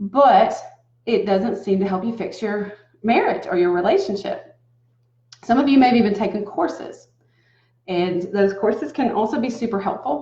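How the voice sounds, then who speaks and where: A woman with a Southern US accent speaks at a moderate pace and medium pitch, her somewhat breathy voice dark and mellow in tone, with ordinary pitch variation, long, frequent pauses and audible room echo. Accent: southern American. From US South. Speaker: relationship coach. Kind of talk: talking-head advice video. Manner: casual, conversational.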